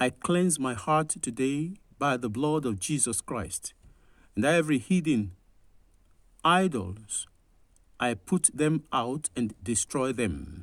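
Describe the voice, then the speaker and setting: A man with a solemn tone and medium pitch talks at a very slow pace, his intonation lively and his pauses long and frequent. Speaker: pastor. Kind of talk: devotional reading and fervent prayer. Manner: solemn, earnest, fervent in prayer; measured, formal reading pace.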